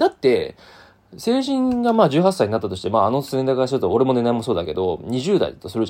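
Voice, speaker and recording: A man against a quiet background. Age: 30s. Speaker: podcast host. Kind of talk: solo monologue. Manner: casual, many fillers.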